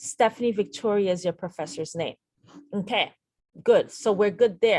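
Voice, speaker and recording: A woman has a plain, everyday voice at medium pitch, speaking at a moderate pace. Her pitch varies in an ordinary way, and the sound is dry and close with no echo. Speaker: nurse educator. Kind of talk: tutorial.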